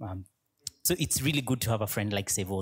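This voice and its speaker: The voice is somewhat breathy, captured in a very clean recording with a silent background. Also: man. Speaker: pastor. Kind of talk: introduction of a speaker.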